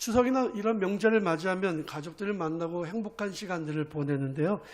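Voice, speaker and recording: A man speaks with ordinary pitch variation. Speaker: pastor. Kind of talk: sermon.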